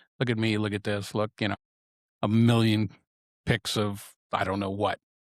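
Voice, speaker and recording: A man in a very clean recording with a silent background and a dry, close sound with no echo. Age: 60s. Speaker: podcast host and photographer. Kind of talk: solo podcast reflection. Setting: studio. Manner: casual, with frequent fillers and repetitions.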